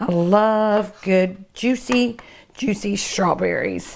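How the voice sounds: A woman at medium pitch, slow-paced, with vocal fry and ordinary pitch variation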